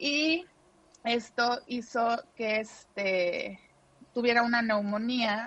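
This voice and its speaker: Very slow speech from a woman, fairly high in pitch, with ordinary pitch variation. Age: 30s. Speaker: mother of a sick child. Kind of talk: testimony.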